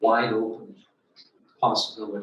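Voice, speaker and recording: Audible room echo surrounds a man whose voice sits at a medium pitch. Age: 80s+. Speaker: professor. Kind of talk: Q&A after a lecture. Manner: halting.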